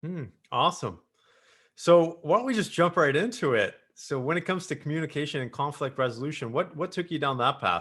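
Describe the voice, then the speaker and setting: A man with a Canadian accent and a plain, everyday voice, a fairly quick pace and lively intonation, over a quiet background. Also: fairly high pitch for a man. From Canada, Greater Toronto area. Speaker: podcast host and business coach. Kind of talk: podcast interview. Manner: casual.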